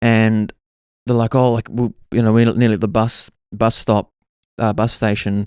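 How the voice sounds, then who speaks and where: In a New Zealand accent, a man of medium pitch talks at a moderate pace with monotone, flat intonation, in a dry, close sound with no echo. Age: 30s. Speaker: podcast host. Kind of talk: casual storytelling monologue. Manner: casual, filler-heavy.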